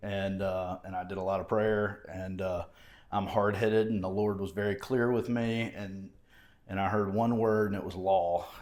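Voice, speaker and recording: Using an Alabama accent, a man talks at a fairly low pitch with monotone, flat intonation. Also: moderate pace. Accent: Southern US (Alabama). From southeast Alabama, US South. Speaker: mayoral candidate, former judge and prosecutor. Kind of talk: podcast interview.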